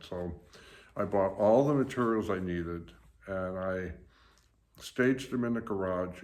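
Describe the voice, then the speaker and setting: A man's very deep, low voice at a fairly slow pace, with ordinary pitch variation and audible room echo. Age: 70s. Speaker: YouTuber. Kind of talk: casual vlog monologue. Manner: hesitant with many fillers.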